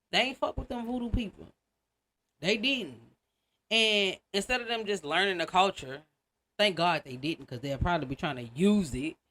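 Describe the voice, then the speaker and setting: With an American accent and a bright, sharp tone, a woman of medium pitch swings her pitch very widely and takes long, frequent pauses in a very clean recording with a silent background. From Louisiana. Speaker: podcast host. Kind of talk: casual storytelling podcast. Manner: fast; animated.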